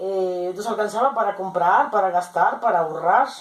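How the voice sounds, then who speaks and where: Speaking rather slowly, this woman has an unremarkable speaking voice. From Mexico, Jalisco. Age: 60s. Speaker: interviewed grandmother. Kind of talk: oral history interview.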